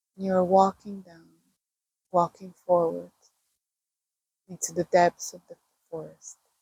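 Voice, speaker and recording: A woman with a fairly low pitch and a dark, mellow, somewhat breathy tone speaks at a fairly slow pace in a monotone, flat intonation, with long, frequent pauses and big swings in loudness. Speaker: meditation guide. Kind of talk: guided meditation. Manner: slow, soft-spoken.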